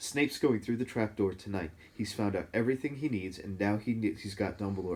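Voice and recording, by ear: Someone is reading aloud in a natural voice. Pitch moves with ordinary variation.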